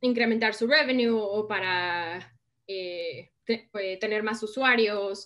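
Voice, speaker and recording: A woman's bright, sharp tone at a fairly high pitch, with a very slow pace and ordinary pitch variation. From Mexico. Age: 30s. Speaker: innovation consultant. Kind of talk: interview.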